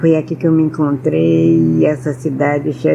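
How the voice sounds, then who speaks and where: Over music in the background, a woman speaks in a very deep, low pitch with monotone, flat intonation. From Rio de Janeiro, Brazil (Tijuca). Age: 80s+. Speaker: storyteller of Afro-Brazilian culture. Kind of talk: interview, personal storytelling.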